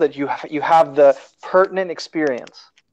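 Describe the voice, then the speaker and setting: A man with a fairly high pitch, talking at a fairly quick pace against a quiet background. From US South, Georgia. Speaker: former student; interviewee. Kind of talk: interview. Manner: repetitive, halting. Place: home room. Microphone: earbuds.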